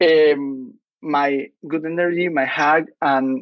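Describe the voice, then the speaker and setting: A man with a Chilean accent and fairly even intonation. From northern Chile. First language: Spanish. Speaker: startup CEO. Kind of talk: podcast interview.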